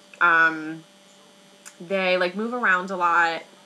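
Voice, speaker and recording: A woman speaks in an animated tone with an American accent over noticeable background noise. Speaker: book reviewer vlogger. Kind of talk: casual video review. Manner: stutters over words, many fillers; chatty, animated.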